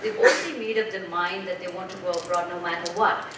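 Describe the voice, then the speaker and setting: The clip has noticeable background noise and audible room echo. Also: woman. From Nepal. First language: Nepali. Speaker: development organization officer; speaker. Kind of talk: panel talk. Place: hall.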